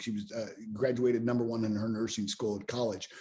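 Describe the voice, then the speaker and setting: A man speaks with a dark, mellow tone and an American accent. His voice is somewhat breathy and his pace fairly quick. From US, Pittsburgh. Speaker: business mentor and speaker. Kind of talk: podcast interview. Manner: frequent repetitions and fillers.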